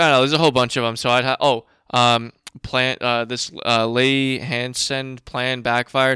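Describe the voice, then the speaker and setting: A man's bright, sharp voice comes through dry and close, with no echo. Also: very clean recording, silent background. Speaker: podcast host. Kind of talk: casual solo podcast talk. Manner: casual, profane.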